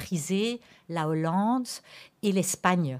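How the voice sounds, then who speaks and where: In a very clean recording with a silent background, a woman is talking. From Antwerp, Belgium. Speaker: school principal. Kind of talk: radio interview. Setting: radio studio. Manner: hesitant, repeats words.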